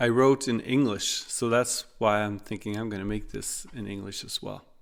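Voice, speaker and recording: Fairly slow, fairly even speech with a Norwegian accent, in a very clean recording with a silent background. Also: man. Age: 40s. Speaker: podcaster, social worker. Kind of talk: podcast monologue. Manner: halting, many fillers.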